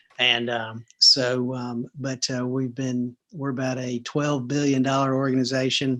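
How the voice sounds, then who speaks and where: A medium-pitched man with a Southern US accent, fairly slow and monotone, with hardly any pauses. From US South, Atlanta, Georgia. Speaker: restaurant chain executive. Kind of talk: interview. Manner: hesitant, many fillers.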